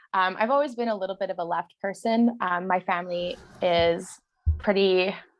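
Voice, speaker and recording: This woman has a Canadian prairie accent and a medium pitch. She talks at a moderate pace with ordinary pitch variation. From rural Saskatchewan, Canada. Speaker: community activist. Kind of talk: casual interview.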